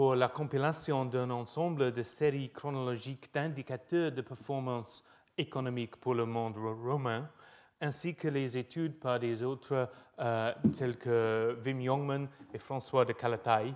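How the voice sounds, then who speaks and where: A man with a British accent at a medium pitch, fairly slow and fairly even in intonation, on a very clean recording with a silent background. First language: English (speaking French). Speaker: professor. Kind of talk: lecture. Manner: halting with many hesitations.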